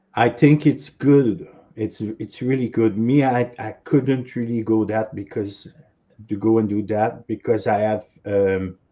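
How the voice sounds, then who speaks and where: A man with a strong French accent, a dark, mellow tone and a fairly slow pace. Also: medium pitch for a man, ordinary pitch variation, quiet background. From Quebec. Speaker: author and former cult member. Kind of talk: interview.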